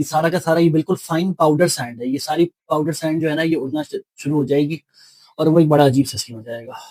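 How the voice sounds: The sound is dry and close, with no echo. The pace is fairly quick and the tone slightly mellow. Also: man, fairly high pitch for a man, ordinary pitch variation.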